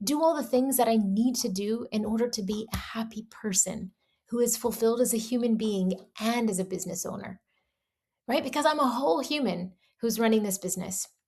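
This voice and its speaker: Ordinary pitch variation in a voice that is somewhat breathy. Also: woman. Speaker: business coach and entrepreneur vlogger. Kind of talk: casual vlog monologue. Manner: slight stutter today, repeats words.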